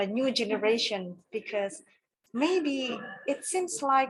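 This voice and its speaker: Speaking very slowly, a woman has an Indonesian accent and ordinary pitch variation. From Java, Indonesia. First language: Javanese. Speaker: audience member asking question. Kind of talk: audience question.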